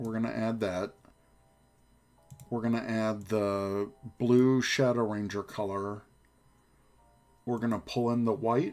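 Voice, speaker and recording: Over music in the background, the speaker talks at a fairly slow pace in a monotone, flat intonation, with long, frequent pauses. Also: man, medium pitch for a man. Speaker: streamer. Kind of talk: live stream tutorial chat. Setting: live stream. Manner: casual, chatty.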